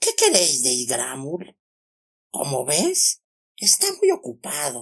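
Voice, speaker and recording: A man puts on a hoarse character voice, pitched fairly high, and speaks at a fairly slow pace. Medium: read story. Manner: refers to itself in the third person.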